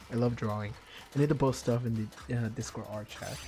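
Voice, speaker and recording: A man with a Spanish accent. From Argentina. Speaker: gaming streamer. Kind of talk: casual chat. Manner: animated.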